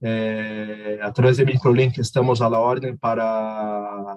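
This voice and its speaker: Against music in the background, the voice speaks with a Portuguese accent in a flat monotone, sounding dry and close with no echo. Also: man. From Brazil. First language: Portuguese (speaking Spanish). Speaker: technical presenter. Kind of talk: webinar closing remarks.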